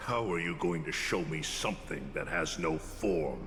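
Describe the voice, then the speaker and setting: A man's put-on character voice, very deep and low, at a moderate pace over clear background noise. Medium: video game. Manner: forceful, accusatory.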